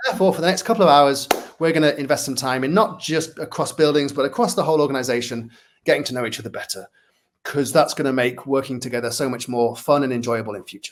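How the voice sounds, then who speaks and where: Speaking very fast in a Manchester accent, a man with a fairly high voice uses ordinary pitch variation. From northern England, Manchester. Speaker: workplace culture consultant, speaker. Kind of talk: interview.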